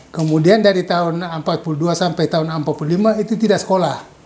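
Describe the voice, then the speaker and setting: Over noticeable background noise, a man with a high voice for a man speaks at a very fast pace with ordinary pitch variation. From Maluku, Indonesia (Saparua, Ambon; later Medan). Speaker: retired school principal and teacher. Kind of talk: interview, life story.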